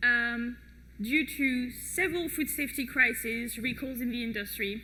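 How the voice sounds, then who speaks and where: Speaking with a French accent, a woman uses a high pitch with ordinary variation. Her pace is moderate, and room echo is audible. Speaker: project manager at food safety organization. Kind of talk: conference talk. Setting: stage with audience. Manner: hesitant with many fillers.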